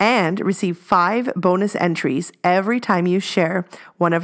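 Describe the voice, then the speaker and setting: A plain, everyday voice with fairly even intonation carries the speech. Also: woman. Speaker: podcast co-host. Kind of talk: casual chat.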